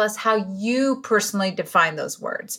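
A woman with a Spanish accent speaks in an enthusiastic, bright and sharp tone, her pitch varying in an ordinary way. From Venezuela. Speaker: podcast host. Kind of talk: interview.

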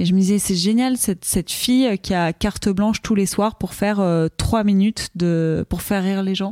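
A woman talks at a moderate pace with a medium pitch, fairly even intonation and very even loudness, hardly pausing at all. The sound is dry and close with no echo, and the recording is very clean against a silent background. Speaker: comedian. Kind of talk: casual chat. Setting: live stream.

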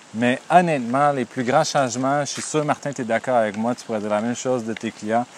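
With fairly even intonation, a man at medium pitch speaks over noticeable background noise. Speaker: therapist and podcast co-host. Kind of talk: casual chat.

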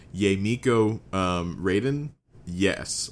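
This man has an unremarkable speaking voice. His pitch is fairly low, and his intonation is lively. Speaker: podcast co-host. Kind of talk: casual chat. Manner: casual, upbeat.

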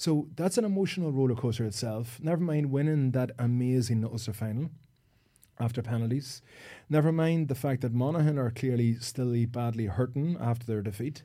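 In an Irish accent, a man speaks at a fairly quick pace with a medium pitch and ordinary pitch variation. His tone is dark and mellow, and the recording is very clean with a silent background. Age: 40s. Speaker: sports psychologist and former footballer. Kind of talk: casual chat. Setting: studio.

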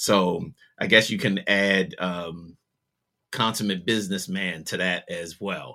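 Very slowly and with fairly even intonation, a man with a fairly low pitch and a bright, sharp tone speaks in a very clean recording with a silent background. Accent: Baltimore. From US, Baltimore. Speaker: music producer and DJ. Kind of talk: interview conversation.

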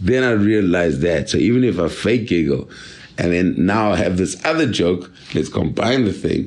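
Lively intonation comes through at a moderate pace with very even loudness and audible room echo. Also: man, very deep, low pitch for a man. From South Africa, Durban. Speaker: comedian. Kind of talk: casual chat. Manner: laid-back.

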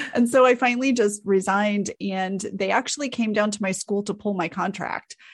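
A somewhat breathy woman's voice at medium pitch, fairly quick in pace, with fairly even intonation. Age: 40s. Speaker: content strategist. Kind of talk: interview.

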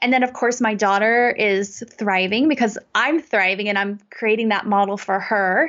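In an American accent, a woman speaks in an unremarkable speaking voice at a fairly high pitch. Her pace is moderate and her pitch variation ordinary. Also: hardly any pauses. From US South. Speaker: life coach. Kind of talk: casual interview chat.

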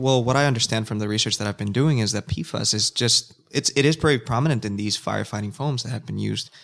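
Very fast speech with ordinary pitch variation comes through a very clean recording with a silent background. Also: man. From Nicaragua. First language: Spanish. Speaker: environmental scientist. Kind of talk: casual chat.

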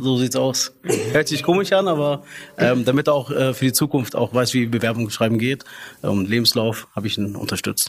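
A man with a medium pitch and ordinary pitch variation is heard against noticeable background noise. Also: moderate pace. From came to Germany as a child refugee in 1986. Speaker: fast-food restaurant manager. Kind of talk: casual interview. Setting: recorded at company headquarters in Munich. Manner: hesitant, many filler sounds.

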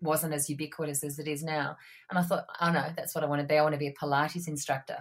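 Her voice very deep and low, a woman speaks very fast in a flat monotone. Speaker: former journalist, not-for-profit worker. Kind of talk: casual interview chat.

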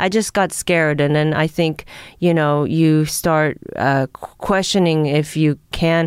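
A woman with a Los Angeles accent speaks at a very slow pace in a very deep, low pitch. Her intonation is fairly even, her loudness very even, and the recording very clean with a silent background. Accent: American (Los Angeles). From Japan (Tokyo), moved to Los Angeles as a child. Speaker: comedian. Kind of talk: casual interview chat.

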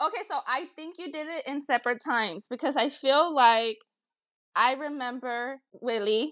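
Against a quiet background, a woman with an American accent speaks at a moderate pace. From Los Angeles, California. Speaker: guest, host's ex-girlfriend. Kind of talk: casual chat.

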